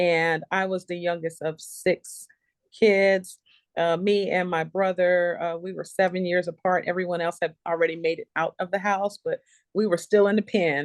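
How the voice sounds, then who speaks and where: A woman's fairly low, monotone voice with an American accent, at a moderate pace, dry and close with no echo over a quiet background. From US South, Charleston, South Carolina (Gullah Geechee). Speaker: nurse entrepreneur. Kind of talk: interview testimony.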